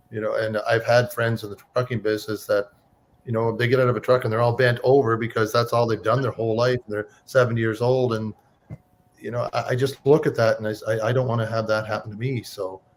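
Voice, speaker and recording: Somewhat breathy and monotone, a man speaks very fast at a medium pitch with flat intonation. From Cape Breton, Nova Scotia, Canada. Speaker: online business owner, former trucker. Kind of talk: casual interview.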